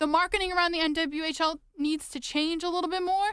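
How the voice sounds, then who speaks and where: A woman speaks at an extremely high pitch in a raised, projected voice, with a bright, sharp tone. Her delivery is passionate and fairly quick. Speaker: podcast host, sports fan. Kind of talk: podcast monologue. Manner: passionate, frustrated, urgent.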